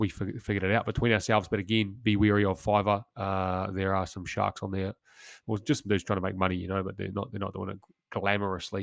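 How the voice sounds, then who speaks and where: A man with a New Zealand accent speaks at a very fast pace in a fairly low pitch, his intonation monotone and flat. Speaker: former commando turned business founder. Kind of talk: solo podcast monologue. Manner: casual, with frequent fillers.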